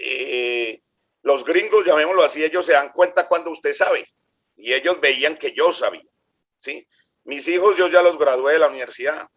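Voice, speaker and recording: Here a man speaks in a high pitch. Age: 60s. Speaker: engineering graduate, electrician, county employee. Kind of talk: interview.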